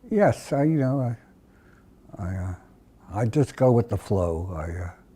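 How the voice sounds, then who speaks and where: With an American accent and a dark, mellow, somewhat breathy tone, a man speaks at a fairly slow pace using lively intonation. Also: medium pitch for a man. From United States. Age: 80s+. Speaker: centenarian interviewee. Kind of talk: oral history interview. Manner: halting, frequent hesitations.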